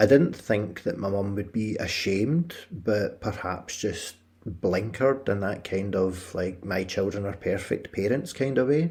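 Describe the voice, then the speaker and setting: In a Scottish accent, a man speaks at a fairly slow pace with hardly any pauses. His voice is fairly low and somewhat breathy, in a very clean recording with a silent background. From Scotland. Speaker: podcast host. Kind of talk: personal narrative podcast.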